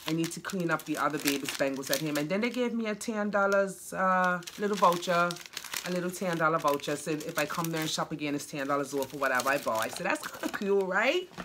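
The woman talks at a fairly quick pace and fairly low pitch with ordinary pitch variation. Noticeable background noise is present. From Bermuda. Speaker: doll hobby vlogger. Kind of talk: casual vlog. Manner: animated. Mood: cheerful, chatty. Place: home room. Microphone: camera far.

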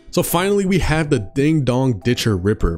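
Faint background music runs throughout. Over it, a man talks at a moderate speed. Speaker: video game commentator. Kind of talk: commentary. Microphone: handheld.

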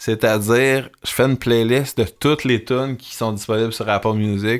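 This man speaks with a Quebec accent at a fairly low pitch. The recording is very clean, with a silent background. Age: 40s. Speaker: musician. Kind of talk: casual chat.

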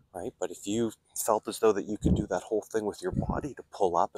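Loud background noise accompanies a man who talks fairly quickly, his voice dry and free of echo. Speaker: golf coach. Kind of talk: tutorial. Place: open country.

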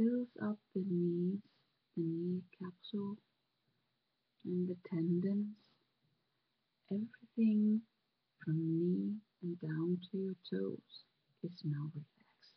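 A woman speaks at a very slow pace, with long, frequent pauses, at medium pitch and with ordinary pitch variation. Her voice is somewhat breathy. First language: not English. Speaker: meditation guide. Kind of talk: guided relaxation. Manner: slow, soft-spoken.

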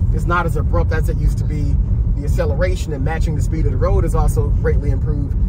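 Loud background noise surrounds a man's voice. The sound is dry with no echo. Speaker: car vlogger. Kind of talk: commentary. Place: car. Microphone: camera far.

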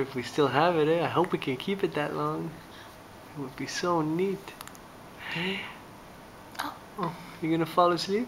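Speech at a moderate pace is broken by long, frequent pauses over light background noise. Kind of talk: talking softly to a baby. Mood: tender, affectionate. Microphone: phone near.

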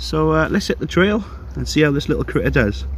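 A man speaks in a dry sound with no echo, over light background noise. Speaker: toy car reviewer. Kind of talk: product review commentary. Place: forest. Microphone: phone near.

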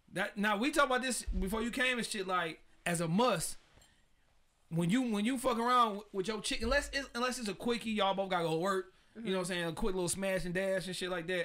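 A man's raised, projected voice, high-pitched, at a very fast pace with ordinary pitch variation. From Detroit. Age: 30s. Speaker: podcast host. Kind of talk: casual chat. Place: studio. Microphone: studio mic.

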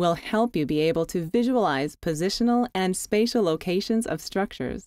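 This woman uses a normal speaking voice at a medium pitch. She speaks at a moderate pace with lively intonation. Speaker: voice actor. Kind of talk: educational narration. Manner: clear, explanatory.

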